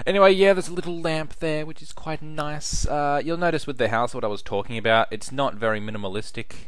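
Speaking with an Australian accent over noticeable background noise, a man rushes at a very fast pace with hardly any pauses, his fairly high pitch carrying lively intonation. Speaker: gaming YouTuber. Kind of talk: casual video commentary. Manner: casual, hesitant with filler words.

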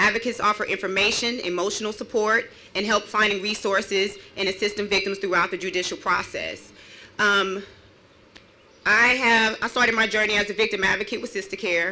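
A woman's bright, sharp voice at a fairly quick pace, flat and monotone in intonation. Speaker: victim advocate. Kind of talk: rally speech; public speech. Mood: earnest, personal testimony. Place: open country. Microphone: podium.

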